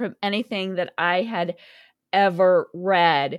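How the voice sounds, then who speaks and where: In a normal speaking voice, a woman talks fairly slowly at a medium pitch, recorded very cleanly with a silent background and a dry, close sound with no echo. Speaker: podcast host and author. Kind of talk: interview, casual chat.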